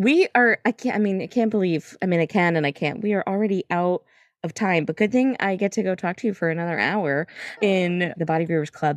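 An unremarkable speaking voice from a woman at medium pitch, fairly quick, with ordinary pitch variation and a dry, close sound with no echo. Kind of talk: casual interview chat.

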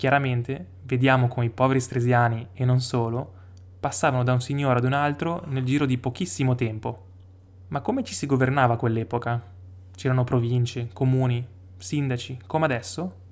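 This man speaks at a fairly quick pace in a medium pitch. He has an unremarkable speaking voice. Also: ordinary pitch variation. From Stresa, Lake Maggiore, Piedmont, northern Italy. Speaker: local history podcaster. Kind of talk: scripted narration.

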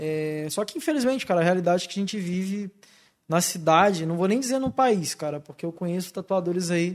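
High in pitch for a man, this speaker moves at a fairly quick pace with ordinary pitch variation. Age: 20s. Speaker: tattoo artist. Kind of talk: casual chat.

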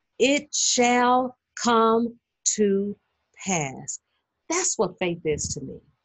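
A woman with a warm tone and fairly high pitch speaks at a very slow pace, her pitch swinging very widely between long, frequent pauses. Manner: warm, encouraging, faith-filled.

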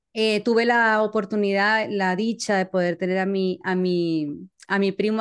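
Against a quiet background, a woman with a Maracaibo accent speaks at a medium pitch with fairly even intonation. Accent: Venezuelan Spanish (Maracaibo). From Venezuela, Maracaibo. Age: 40s. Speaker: social media communicator and podcast host. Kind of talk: casual interview chat.

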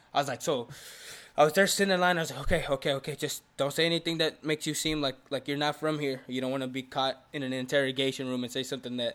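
With an American accent, a speaker talks at a very fast pace with fairly even intonation. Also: man. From Houston, Texas. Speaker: podcast co-host. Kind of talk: casual chat.

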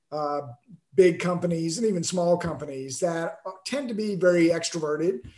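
Speaking at a moderate pace, a man has a high pitch and a dark, mellow tone. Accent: American. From Alabama, US South. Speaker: author. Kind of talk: interview.

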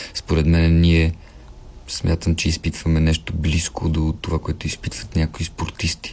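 Monotone, flat intonation at a fairly slow pace, with very even loudness. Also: man, very deep, low pitch for a man. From Bulgaria, Pernik. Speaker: actor. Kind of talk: casual chat.

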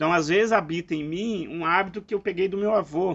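A man speaks in a high pitch. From Brazil, eastern Minas Gerais. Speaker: philosophy podcast co-host. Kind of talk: casual reflective conversation.

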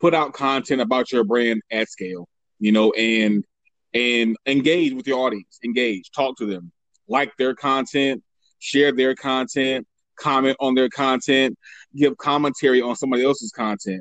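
A man of medium pitch has an unremarkable speaking voice, with ordinary pitch variation at a moderate pace, in a dry, close sound with no echo. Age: 30s. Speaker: marketing expert. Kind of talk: interview.

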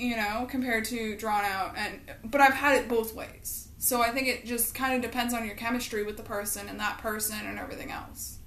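Noticeable background noise sits behind a woman with a fairly high pitch. She speaks at a fairly quick pace in a monotone, flat intonation with hardly any pauses. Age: 20s. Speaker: podcast co-host. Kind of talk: casual chat.

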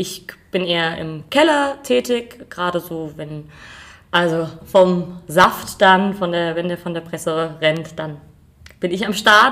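A woman's fairly low voice at a very slow pace, with ordinary pitch variation and big swings in loudness. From Germany, Rheingau (Hesse). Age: 20s. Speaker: winemaker. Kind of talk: casual interview. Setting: at a winery.

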